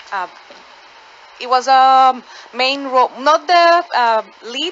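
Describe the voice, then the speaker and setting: A woman with a Spanish accent speaks with lively intonation. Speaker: actor. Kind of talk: radio interview. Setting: studio. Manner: halting.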